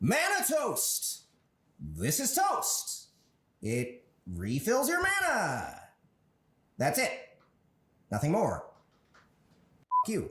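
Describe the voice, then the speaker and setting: A man's put-on character voice at a very slow pace, broken by long, frequent pauses. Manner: smarmy and sarcastic.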